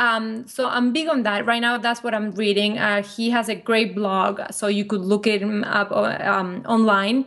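Using a Spanish accent, a woman with a fairly high pitch talks at a fairly slow pace with hardly any pauses, very even loudness and fairly even intonation. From Argentina. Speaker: business co-owner. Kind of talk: casual interview.

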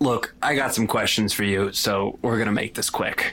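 A man uses a put-on character voice, raspy and fairly low in pitch, at a moderate pace with fairly even intonation. Light background noise sits behind him. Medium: actual play. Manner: cold, threatening.

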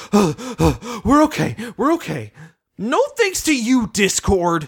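In a put-on character voice pitched fairly high, the speaker talks very slowly. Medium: talk show. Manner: excited, indignant.

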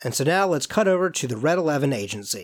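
At a fairly quick pace, a man talks in a normal speaking voice with ordinary pitch variation, on a very clean recording with a silent background. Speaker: student podcast host. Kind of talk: scripted narration.

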